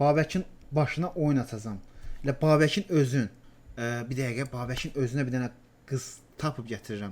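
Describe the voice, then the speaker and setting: In an ordinary speaking voice of medium pitch, a man talks at a moderate pace with ordinary pitch variation. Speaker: gaming YouTuber. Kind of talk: casual chat. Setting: voice chat.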